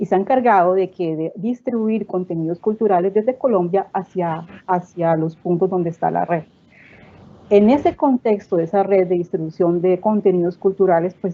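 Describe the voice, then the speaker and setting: Keeping a moderate pace, a woman talks at a medium pitch with fairly even intonation. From Colombian Caribbean coast. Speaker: cultural network director. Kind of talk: panel discussion.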